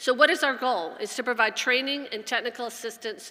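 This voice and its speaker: The voice has a bright, sharp tone, a fairly quick pace and ordinary pitch variation. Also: woman. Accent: American. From US South. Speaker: addiction organization executive. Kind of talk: conference talk. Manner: fast; passionate.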